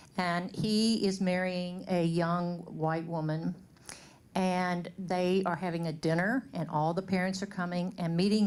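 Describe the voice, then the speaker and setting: In a Louisiana accent, a woman speaks at a fairly slow pace and medium pitch, her intonation monotone and flat and her loudness very even. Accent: Southern US (Louisiana). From US South, Shreveport, Louisiana. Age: 60s. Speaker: community speaker. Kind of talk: personal testimony to an audience.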